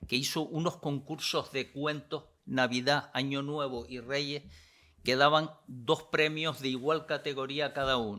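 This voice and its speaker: This man's voice is fairly high in pitch, bright and sharp in tone, and fairly even in intonation. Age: 80s+. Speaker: comics critic. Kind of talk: interview.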